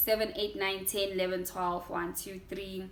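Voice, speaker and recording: A woman talks at a moderate pace in a South African accent. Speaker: YouTuber. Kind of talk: casual sit-down vlog.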